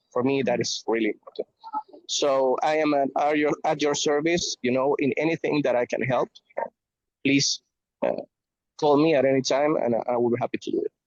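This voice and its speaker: With a Spanish accent, a man talks at a fairly quick pace broken by long, frequent pauses. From Venezuela. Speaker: logistics professional. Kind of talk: video call update. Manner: halting, many fillers.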